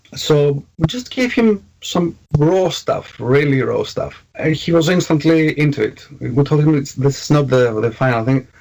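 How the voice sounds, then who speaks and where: The man's fairly high voice is somewhat breathy, with lively intonation. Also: moderate pace. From Greece. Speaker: metal band vocalist. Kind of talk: interview. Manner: halting, many fillers.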